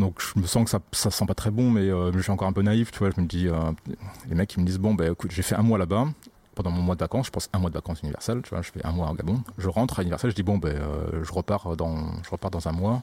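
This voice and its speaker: A man's very deep, low voice with a dark, mellow tone, very fast in pace, with ordinary pitch variation. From southern France (Occitanie, Montpellier). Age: 30s. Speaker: sound engineer. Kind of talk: casual chat.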